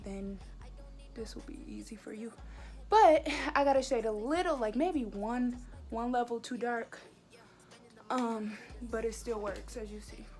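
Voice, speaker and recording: Over background music, a woman with a fairly high pitch speaks at a fairly slow pace. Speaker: beauty vlogger. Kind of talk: makeup tutorial vlog. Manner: casual, chatty.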